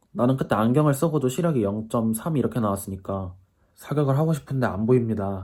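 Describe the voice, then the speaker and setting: At a fairly quick pace, a man talks in a medium pitch with lively intonation and a dark, mellow tone. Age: 20s. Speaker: YouTuber. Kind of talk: casual vlog monologue. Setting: at home in self-quarantine. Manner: casual, chatty.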